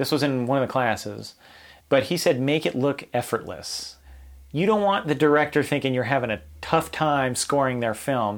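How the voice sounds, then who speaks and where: On a very clean recording with a silent background, a man uses an ordinary speaking voice at a moderate pace, with a medium pitch and lively intonation. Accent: American. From Los Angeles area, US. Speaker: composer and army veteran. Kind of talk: casual interview.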